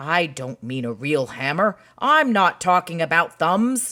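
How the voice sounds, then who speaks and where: A man puts on a character voice, high-pitched and raised to project, at a fairly slow pace. His pitch swings very widely. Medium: read story. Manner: plainspoken.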